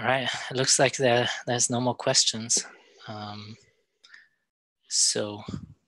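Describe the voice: A man speaks at a slow pace, his fairly bright tone carried on fairly even intonation. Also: medium pitch for a man.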